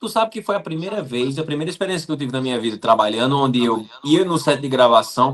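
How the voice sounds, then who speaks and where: Lively intonation and a very fast pace, in a Paraíba accent. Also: man. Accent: Paraíba northeastern Brazilian Portuguese. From Paraíba, Brazil (Campina Grande). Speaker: actor. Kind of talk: interview.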